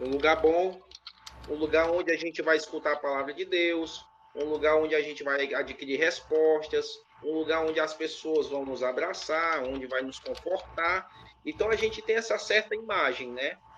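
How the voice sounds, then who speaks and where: Pitch moves with ordinary variation. The speech goes at a moderate pace. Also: man. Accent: strong northeastern Brazilian. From Ceará, Brazil. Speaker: interviewee, former preacher. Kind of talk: interview. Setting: live stream.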